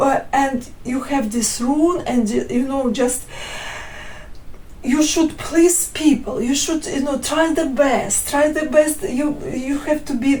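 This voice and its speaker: A woman with a non-native accent speaks very slowly in a high voice with ordinary pitch variation. Audible room echo and noticeable background noise fill the recording. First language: not English. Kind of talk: testimony. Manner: halting, many fillers and restarts.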